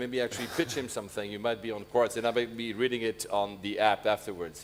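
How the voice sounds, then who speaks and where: A man speaks with a French accent. His pitch is medium and his pace fairly quick. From Switzerland, French-speaking. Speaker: conference moderator. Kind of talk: panel interview.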